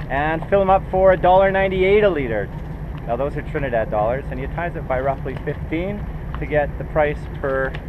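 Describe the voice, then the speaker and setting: A man's voice over noticeable background noise. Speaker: sailing vlogger. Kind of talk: casual vlog chat. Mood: cheerful, pleased with savings. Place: boat. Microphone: phone near.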